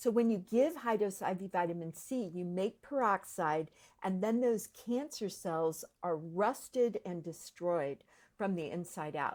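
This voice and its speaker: On a very clean recording with a silent background, a woman with a normal speaking voice and medium pitch talks fairly slowly with lively intonation. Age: 60s. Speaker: functional medicine practitioner. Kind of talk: explainer interview.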